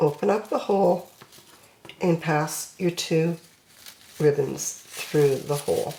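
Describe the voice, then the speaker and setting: Over noticeable background noise, a woman with a fairly low pitch and ordinary pitch variation speaks at a very slow pace, with long, frequent pauses. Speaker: crafting tutorial creator. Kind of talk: tutorial.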